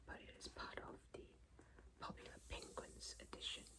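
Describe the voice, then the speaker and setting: Whispering at a moderate pace, the speaker talks. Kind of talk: ASMR book blurb reading. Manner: whispered, soft-spoken.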